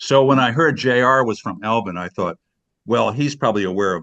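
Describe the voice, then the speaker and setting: Moderate pacing from a male speaker. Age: 60s. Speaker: video studio business owner. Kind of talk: casual chat. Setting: video call. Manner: halting.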